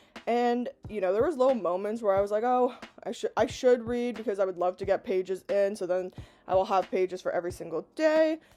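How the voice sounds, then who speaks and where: A woman's fairly high voice with lively intonation at a fairly quick pace, music in the background. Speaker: booktube vlogger. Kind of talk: casual vlog talking to camera. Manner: casual, chatty.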